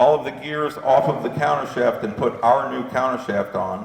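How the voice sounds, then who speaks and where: A man at a moderate pace, with lively intonation. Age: 60s. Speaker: drivetrain company founder and presenter. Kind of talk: workshop presentation with Q&A. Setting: dealership service bay with live audience. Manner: halting, many fillers and restarts.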